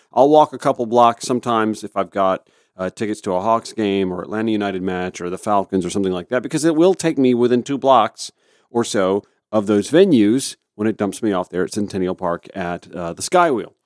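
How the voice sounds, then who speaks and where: On a very clean recording with a silent background and a dry, close sound with no echo, a man in a normal speaking voice talks at a fairly quick pace with fairly low pitch and ordinary pitch variation. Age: 40s. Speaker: radio host. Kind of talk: casual chat; reading aloud.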